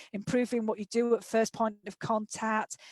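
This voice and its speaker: A woman with a Yorkshire accent speaks at a fairly high pitch, with music in the background. The sound is dry and close, with no echo. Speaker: occupational therapist and author. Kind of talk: webinar presentation. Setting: online webinar.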